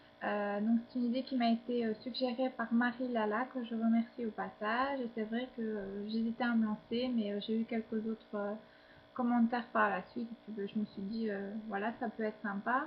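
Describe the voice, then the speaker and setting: A woman speaks at a moderate pace in a fairly high pitch, with monotone, flat intonation. Noticeable background noise runs under her voice. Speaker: fashion vlogger. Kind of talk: outfit of the day vlog. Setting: at home. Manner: hesitant, many fillers. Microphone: built-in laptop webcam.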